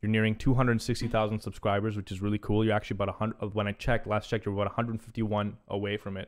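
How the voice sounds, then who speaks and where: Speaking at a very fast pace with hardly any pauses, a man keeps a fairly low pitch. His intonation is monotone and flat. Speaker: commentary channel host. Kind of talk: casual interview chat. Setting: studio. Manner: loud, boisterous.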